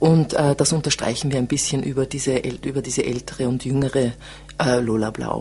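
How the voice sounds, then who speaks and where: Over noticeable background noise, a woman talks at a fairly quick pace in a very deep, low pitch, monotone and flat. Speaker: theatre director. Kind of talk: interview. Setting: studio.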